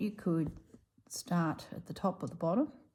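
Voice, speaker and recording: A woman speaks with a rural Australian accent at a fairly low pitch, with ordinary pitch variation. The recording is very clean with a silent background. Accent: Australian, country drawl. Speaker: embroidery artist. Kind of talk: casual chat; craft tutorial. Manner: casual, chatty.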